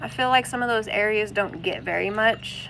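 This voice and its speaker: Here a woman speaks with a Southern accent. Her pace is moderate. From US South, Arkansas. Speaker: homesteading and spirituality vlogger. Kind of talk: casual live stream chat. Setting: outdoors, floating in a kayak on a pond.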